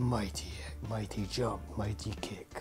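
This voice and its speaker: Someone uses a put-on character voice with low pitch, speaking at a fairly slow pace. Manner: ominous, menacing.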